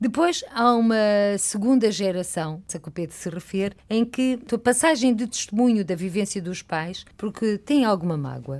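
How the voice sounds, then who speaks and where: A woman speaks at a moderate pace in a medium pitch, with lively intonation. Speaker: radio host. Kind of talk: interview. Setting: studio.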